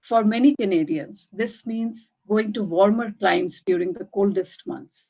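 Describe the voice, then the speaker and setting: With a Bengali accent, a woman talks at a fairly slow pace with hardly any pauses, her fairly high voice dark and mellow in tone, lively in intonation and swinging widely in loudness. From India, Delhi. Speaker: writer. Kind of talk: reading aloud; talk presentation.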